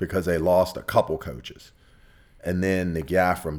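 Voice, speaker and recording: With a very deep, low pitch, a man speaks in fairly even intonation. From Virginia, Ashland area (born in southern West Virginia). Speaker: former football player and coach. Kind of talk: interview.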